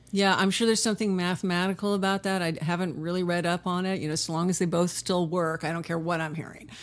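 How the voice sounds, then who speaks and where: Monotone, flat intonation at a very fast pace with hardly any pauses. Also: woman, fairly low pitch for a woman. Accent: Californian. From Southern California (Huntington Beach). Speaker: session and touring guitarist. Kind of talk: casual interview chat.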